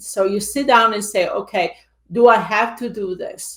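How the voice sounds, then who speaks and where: A woman with an Italian accent and ordinary pitch variation. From Italy. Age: 50s. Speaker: real estate investor and coach. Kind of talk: interview.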